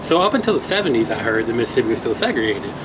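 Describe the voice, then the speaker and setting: Over noticeable background noise and audible room echo, a man with an American accent talks at a very fast pace with lively intonation. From Virginia. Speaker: law student. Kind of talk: casual interview. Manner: halting, many fillers.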